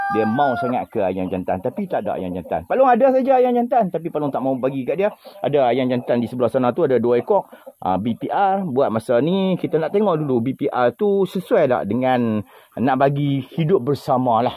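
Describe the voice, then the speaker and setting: A man with a Kedah accent talks at a fairly quick pace in a fairly high voice with very wide pitch swings. Noticeable background noise is present. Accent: northern Malay (Kedah) dialect, unchanged. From Kedah, northern Peninsular Malaysia. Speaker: farm vlogger. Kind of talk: casual vlog talk.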